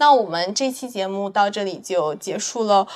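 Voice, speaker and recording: A woman speaks in a plain, everyday voice at a fairly high pitch. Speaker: podcast host. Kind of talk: casual chat.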